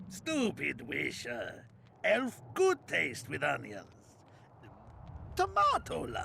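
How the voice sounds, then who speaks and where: A man speaks very slowly in a put-on character voice. He leaves long, frequent pauses. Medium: video game. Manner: dry, terse.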